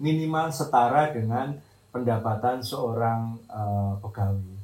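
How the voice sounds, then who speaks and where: A man speaks with a somewhat breathy voice. Audible room echo surrounds him. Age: 60s. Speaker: retired teacher and environmental activist. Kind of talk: interview testimony.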